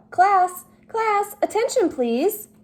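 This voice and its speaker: Squeaky and extremely high, a woman's put-on character voice leaps through very wide pitch swings. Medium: read story.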